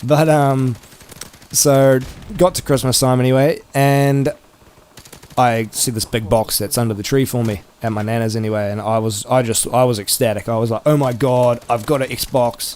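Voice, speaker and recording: Over noticeable background noise, a man at medium pitch talks at a moderate pace with fairly even intonation. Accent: New Zealand. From New Zealand. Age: 20s. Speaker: gaming youtuber. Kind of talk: casual vlog chat. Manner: casual, with many fillers.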